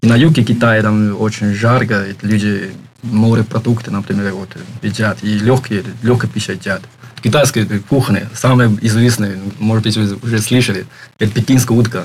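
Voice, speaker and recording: Over noticeable background noise, a man with a Chinese accent speaks at a medium pitch with fairly even intonation. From China, Shanghai. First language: Chinese (speaking Russian). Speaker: foreign university student. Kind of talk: interview. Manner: halting, many fillers.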